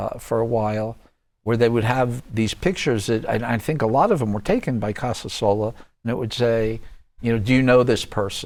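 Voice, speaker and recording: A man with a plain, everyday voice speaks at medium pitch with fairly even intonation. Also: fairly quick pace. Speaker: TV show host. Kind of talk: TV interview host.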